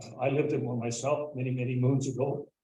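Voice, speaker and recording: Fairly quick, somewhat breathy male voice of medium pitch, dark and mellow in tone, monotone and flat, with audible room echo. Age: 70s. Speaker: municipal council candidate. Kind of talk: public candidate speech. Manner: halting with frequent fillers. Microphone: too quiet at first, not close enough to mic.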